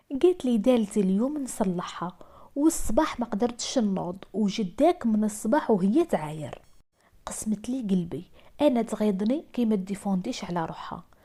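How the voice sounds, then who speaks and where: A woman with an Algerian accent, fairly high pitch, lively intonation, a dark, mellow, somewhat breathy tone and a moderate pace. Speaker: storyteller. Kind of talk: first-person true-story narration.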